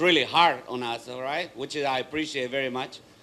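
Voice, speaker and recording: A man talks at a moderate pace. He has a Paraguayan accent. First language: Spanish. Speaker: martial arts school owner and speaker. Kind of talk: motivational talk.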